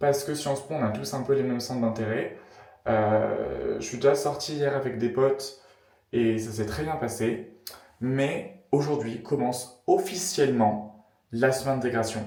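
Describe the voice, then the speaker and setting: Somewhat breathy and dark, mellow in tone, a man talks at a fairly slow pace with audible room echo around him. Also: medium pitch for a man, fairly even intonation. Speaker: student vlogger. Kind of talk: casual vlog. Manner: casual, many fillers and hesitations.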